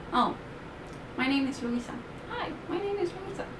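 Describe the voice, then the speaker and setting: There is noticeable background noise as a woman speaks with a Spanish accent. Her pitch swings very widely. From Colombia. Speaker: animation teacher, YouTuber. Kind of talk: casual tutorial talk to camera. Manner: hesitant, many fillers. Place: home room. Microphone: webcam.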